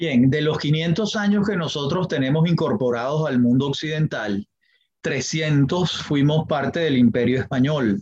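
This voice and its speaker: An unremarkable speaking voice from a man, fairly high in pitch, at a fairly slow pace with very even loudness and ordinary pitch variation. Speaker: history professor and lawyer. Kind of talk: interview. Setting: podcast interview.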